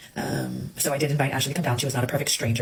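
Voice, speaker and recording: Very fast talk from a woman, very deep and low, over noticeable background noise. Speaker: social media personality's former host. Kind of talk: self-recorded video statement. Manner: halting, many fillers after stroke.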